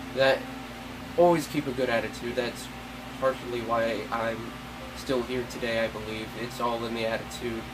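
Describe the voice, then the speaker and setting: Long, frequent pauses break up a man's flat, monotone delivery at medium pitch with an American accent, heard over noticeable background noise. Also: moderate pace. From Central Florida. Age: 20s. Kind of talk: personal appeal to camera.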